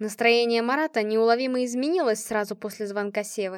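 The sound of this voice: Fairly even in intonation, this is an unforced reading voice.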